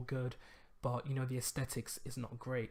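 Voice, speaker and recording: A mumbling, somewhat breathy man at medium pitch and a fairly quick pace. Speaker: web design tutorial youtuber. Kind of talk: tutorial. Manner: hesitant, many fillers.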